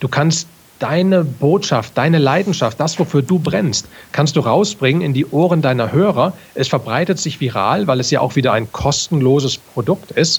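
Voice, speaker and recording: With a plain, everyday voice, a man of fairly high pitch speaks with lively intonation and very even loudness. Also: moderate pace. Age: 40s. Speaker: podcaster and entrepreneur, former army officer. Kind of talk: casual interview.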